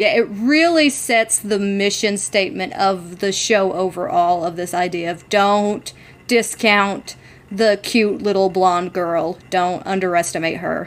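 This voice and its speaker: Speaking fairly slowly, a woman has an unremarkable speaking voice, a medium pitch and ordinary pitch variation. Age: 30. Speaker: podcast co-host. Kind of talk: casual chat.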